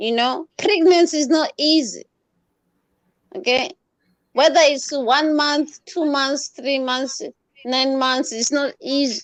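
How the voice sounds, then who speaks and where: Speaking very slowly with long, frequent pauses and ordinary pitch variation, the voice carries a non-native accent in a dry, close recording with no echo. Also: woman, high pitch for a woman. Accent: noticeable foreign. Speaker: participant sharing loss experience. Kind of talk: group discussion on grief. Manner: emotional, frequent interjections.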